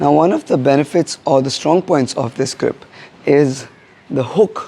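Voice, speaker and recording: Against noticeable background noise, a man with a fairly high pitch talks at a fairly slow pace with fairly even intonation. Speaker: martial arts instructor. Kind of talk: tutorial.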